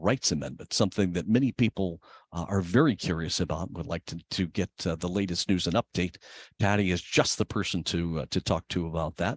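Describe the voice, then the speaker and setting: Against a quiet background, a man with a very deep, low pitch speaks at a fairly quick pace with ordinary pitch variation, the sound dry and close with no echo. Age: 60s. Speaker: event moderator. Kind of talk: panel introduction. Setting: public event. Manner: halting.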